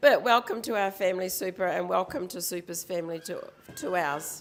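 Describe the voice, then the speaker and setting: Noticeable background noise sits behind a woman's voice. She speaks at a medium pitch and moderate pace with lively intonation. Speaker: mother of the bride. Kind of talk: wedding speech. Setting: wedding reception. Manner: hesitant, many fillers.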